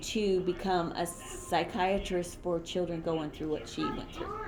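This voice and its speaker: A woman at a very slow pace, with audible room echo and noticeable background noise. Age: 60s. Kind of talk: casual interview.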